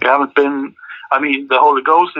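With a Swedish accent, a man speaks at a moderate pace in a medium pitch and with fairly even intonation. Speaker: rock band singer and guitarist. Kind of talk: interview. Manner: halting.

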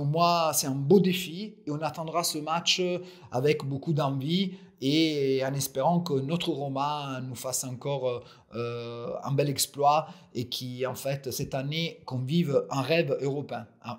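A man speaks at a very slow pace. His fairly high voice keeps fairly even intonation. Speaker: football fan commentator. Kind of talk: solo audio commentary. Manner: halting, many repeated words and fillers.

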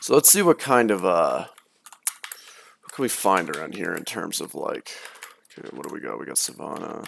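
A man speaks at a moderate pace with long, frequent pauses. His loudness swings widely. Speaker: gaming youtuber. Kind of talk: let's play commentary. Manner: monotone.

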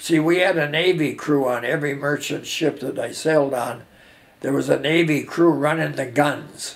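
At a moderate pace, a man with an Upper Midwest accent speaks in a fairly high voice with vocal fry and fairly even intonation. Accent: Upper Midwest American. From US Midwest. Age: 80s+. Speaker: war veteran. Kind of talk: oral history interview. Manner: halting. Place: home room.

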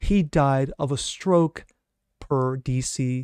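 Against a quiet background, a man speaks in an energetic tone, the sound dry with no echo. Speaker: political commentator. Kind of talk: opinionated news commentary monologue. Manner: sarcastic, mocking, indignant; energetic, rhetorical, punchy. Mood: skeptical, indignant. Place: home room.

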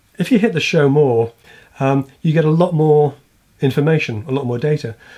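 A man with an English accent speaks with fairly even intonation over a quiet background. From England. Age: middle-aged. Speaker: woodworking YouTuber. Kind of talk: casual channel update to camera. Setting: home workshop or backyard. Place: home room.

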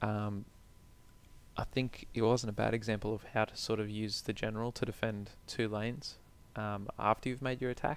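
The delivery comes at a moderate pace with monotone, flat intonation. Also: man, fairly low pitch for a man. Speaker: gaming video creator. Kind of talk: gameplay commentary.

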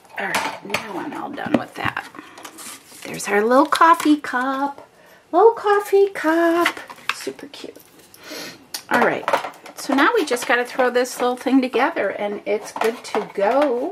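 Over loud background noise, a woman speaks fairly slowly at a high pitch with very wide pitch swings. Her pauses are long and frequent. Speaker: paper craft demonstrator. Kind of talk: craft tutorial. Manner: animated. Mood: cheerful, chatty.

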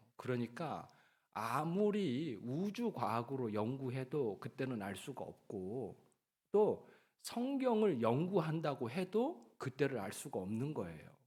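At a very slow pace, a man talks in a medium pitch. His pitch swings very widely. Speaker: pastor. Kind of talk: sermon.

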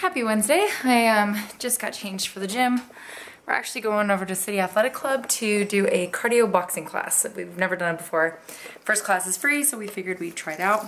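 A woman talks at a fairly quick pace with ordinary pitch variation over light background noise. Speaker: fitness vlogger. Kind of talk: casual vlog chat. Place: kitchen. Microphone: phone near.

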